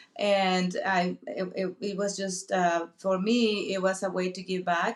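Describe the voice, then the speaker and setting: A woman at medium pitch in a Spanish accent, fairly slow and monotone with flat intonation, over noticeable background noise. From Mexico. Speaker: real estate investor. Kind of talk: interview. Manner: halting, many fillers.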